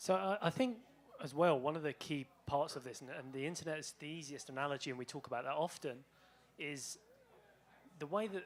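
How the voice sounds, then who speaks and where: This man has a British accent and a fairly high pitch. He speaks at a fairly quick pace with ordinary pitch variation and big swings in loudness. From Britain. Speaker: bitcoin researcher. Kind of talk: panel talk with slides.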